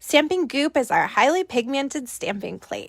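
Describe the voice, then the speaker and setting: A woman's voice with very wide pitch swings, dry and close with no echo. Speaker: nail art educator. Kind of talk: live tutorial. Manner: casual, chatty.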